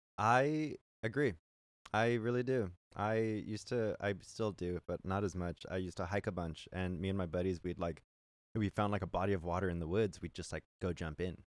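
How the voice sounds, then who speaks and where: The voice has an American accent and a moderate pace. The sound is dry and close, with no echo. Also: man, very deep, low pitch for a man, ordinary pitch variation, very clean recording, silent background. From California. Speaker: singer-songwriter. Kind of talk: casual chat. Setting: on a boat.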